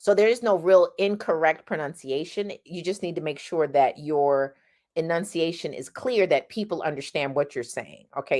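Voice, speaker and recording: With an American accent, a woman speaks at a moderate pace in a very deep, low pitch. Her intonation is lively. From California, Los Angeles. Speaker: singing teacher. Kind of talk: tutorial. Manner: casual, conversational.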